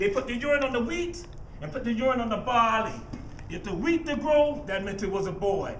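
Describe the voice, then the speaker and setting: Noticeable background noise sits behind a man with a Geechee accent. He talks at a fairly quick pace with lively intonation. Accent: Geechee Gullah inflected Southern US English. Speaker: griot, living historian. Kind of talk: storytelling performance to a live audience.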